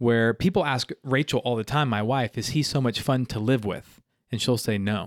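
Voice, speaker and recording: An American accent in a very clean recording with a silent background, dry and close with no echo, with ordinary pitch variation. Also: man, medium pitch for a man, moderate pace. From South Carolina (Greenville). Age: 30s. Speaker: youth pastor. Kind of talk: casual interview chat. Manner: animated.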